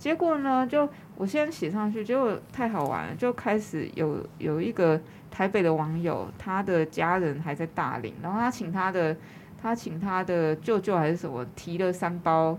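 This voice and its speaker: A woman's fairly low, ordinary speaking voice with lively intonation at a moderate pace. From Taiwan, New Taipei (Yonghe). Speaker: arts manager and business owner. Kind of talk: casual interview.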